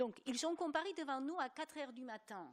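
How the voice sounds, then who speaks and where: A woman with a non-native accent speaks at a fairly quick pace. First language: not French (speaking French). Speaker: journalist, EU correspondent. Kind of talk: panel debate. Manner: animated.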